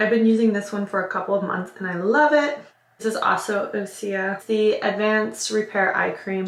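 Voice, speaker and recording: An upbeat woman's voice, fairly high-pitched and fairly quick, with audible room echo and noticeable background noise. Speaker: lifestyle vlogger. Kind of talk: casual vlog talk to camera; sponsored product pitch. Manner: chatty, upbeat.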